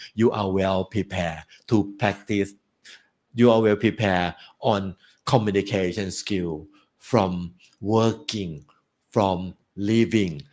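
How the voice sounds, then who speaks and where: A man speaks very slowly in a Thai accent, his pitch fairly low. The recording is very clean, with a silent background. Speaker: guest speaker at graduation. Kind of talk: speech. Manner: halting.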